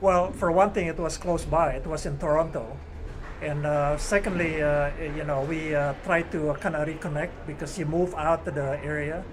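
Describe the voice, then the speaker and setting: A fairly high-pitched man in a monotone, flat intonation, with audible room echo and noticeable background noise. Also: moderate pace. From Indonesia. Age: 70s. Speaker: badminton player. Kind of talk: interview.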